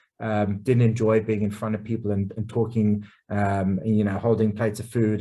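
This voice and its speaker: A man speaks with a dark, mellow tone. His intonation is fairly even. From England, Essex. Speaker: chef. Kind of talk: casual interview. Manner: many fillers and repeated words.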